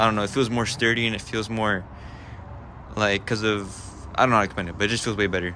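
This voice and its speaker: In a bright, sharp tone, a man speaks at a fairly low pitch with fairly even intonation, with audible room echo around him. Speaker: car enthusiast vlogger. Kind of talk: casual vlog. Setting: outdoors. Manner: stutter; hesitant, many fillers.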